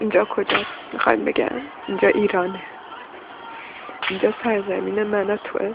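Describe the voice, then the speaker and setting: A woman at a moderate pace with long, frequent pauses over noticeable background noise. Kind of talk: emotional first-person monologue.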